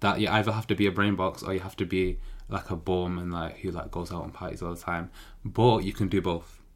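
Very fast speech in a Manchester accent, in a very clean recording with a silent background. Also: man. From Manchester, England. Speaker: law student podcaster. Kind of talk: casual solo monologue.

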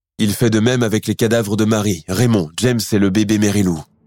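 Over a silent background in a very clean, dry, close recording with no echo, a man speaks in a dramatic tone at a fairly quick pace and a fairly low pitch with ordinary pitch variation. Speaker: true crime podcast narrator. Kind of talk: true-crime narration, scripted storytelling. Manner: grave, measured, dramatic storytelling pace; clear and formal, building suspense.

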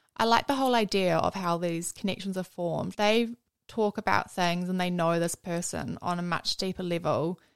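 Recorded dry and close with no echo, the audio is very clean with a silent background. A woman with a New Zealand accent speaks at a moderate pace, her medium pitch showing ordinary variation. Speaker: host's friend. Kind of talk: casual chat.

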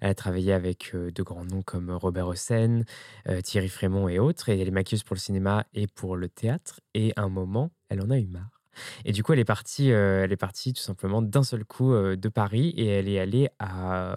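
Here is a man with an unremarkable speaking voice, fairly low in pitch with ordinary variation, at a moderate pace. The recording is very clean with a silent background and a dry, close sound with no echo. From France, Ardèche. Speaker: drag queen and makeup artist. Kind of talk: casual interview. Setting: drag workshop.

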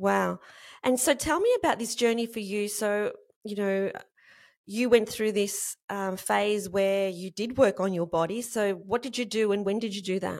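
In a very clean recording with a silent background, a woman speaks at a medium pitch and moderate pace with fairly even intonation. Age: 50s. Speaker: podcast host. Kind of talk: interview.

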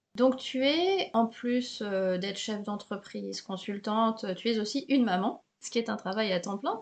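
A woman with an unremarkable speaking voice, fairly high-pitched, at a fairly slow pace with hardly any pauses and ordinary pitch variation. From Paris, France. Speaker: podcast host, French teacher. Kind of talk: interview. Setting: home recording, window open.

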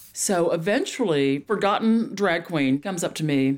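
A woman speaks in a Texan accent at a fairly slow pace. Her pitch is fairly low, and her intonation is lively. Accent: Texan Southern. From Dallas, Texas. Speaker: stand-up comedian.

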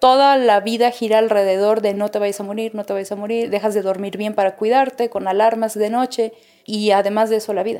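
With a Mexican accent, a woman with fairly high pitch speaks at a fairly quick pace in a dark, mellow tone and a monotone, flat intonation. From Mexico. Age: 30s. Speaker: singer. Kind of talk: interview testimony.

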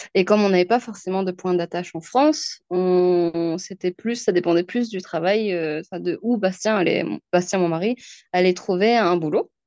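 A woman with an unremarkable speaking voice talks fairly slowly at a medium pitch with ordinary pitch variation. The sound is dry and close with no echo, over a quiet background. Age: 30s. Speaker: sales director and mother. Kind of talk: casual interview. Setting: remote call.

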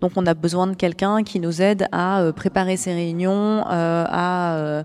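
A woman speaks at a medium pitch with monotone, flat intonation. Her recording is very clean, with a silent background. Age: 40s. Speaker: cooperative executive. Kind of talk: interview. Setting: live forum event.

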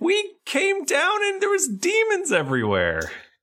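In a squeaky, put-on character voice at an extremely high pitch, a man talks at a moderate pace. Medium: actual play. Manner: cheeky, says "mate" and "oi".

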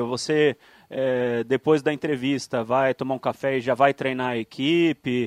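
A man with a plain, everyday voice speaks fairly slowly at a fairly high pitch, in a dry, close sound with no echo on a very clean recording with a silent background. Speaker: radio sports panelist. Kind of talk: radio interview.

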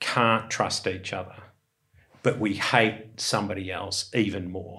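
In an Australian accent, a man speaks at a fairly low pitch. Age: 60s. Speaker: investor. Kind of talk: casual chat.

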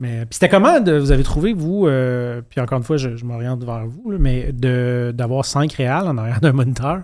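A man speaks with a Quebec accent. He barely pauses at all. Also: medium pitch for a man, ordinary pitch variation, moderate pace. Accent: Québécois French. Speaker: podcast host, sketch comedy writer. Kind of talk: casual chat.

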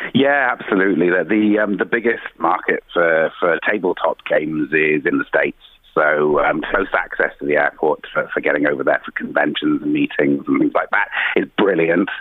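With a Welsh accent, a man speaks at a moderate pace and very even loudness over noticeable background noise. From South Wales. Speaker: company CEO. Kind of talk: interview. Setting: phone call. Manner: halting.

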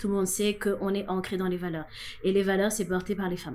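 A woman is speaking. Her pitch is medium. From Senegal. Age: 30s. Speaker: LGBT activist. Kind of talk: interview.

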